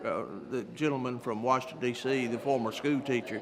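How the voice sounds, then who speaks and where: A man at medium pitch and a moderate pace, over noticeable background noise. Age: 70s. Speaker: event attendee interviewed. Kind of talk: post-event interview.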